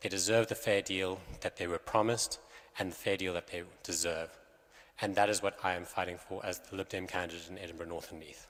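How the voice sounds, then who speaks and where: A man with a very deep, low pitch speaks at a fairly quick pace. His intonation is monotone and flat, but his loudness swings widely. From South Africa. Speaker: election candidate. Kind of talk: campaign speech at hustings. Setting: church hall with audience.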